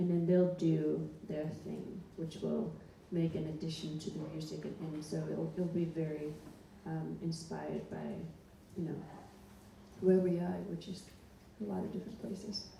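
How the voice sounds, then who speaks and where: In a recording with audible room echo and noticeable background noise, a woman speaks at a moderate pace with long, frequent pauses. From Greenland. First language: Greenlandic. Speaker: singer-songwriter. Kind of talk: interview. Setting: library stage with audience. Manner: hesitant, repeats words.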